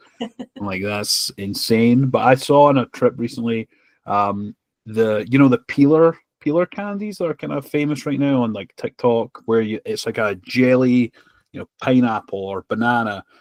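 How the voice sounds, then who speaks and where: A man with a Scottish accent speaks with lively intonation, the sound dry and close with no echo on a very clean recording with a silent background. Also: medium pitch for a man, moderate pace, big swings in loudness. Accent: noticeable Scottish. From Scotland. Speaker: podcast host. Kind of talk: casual chat.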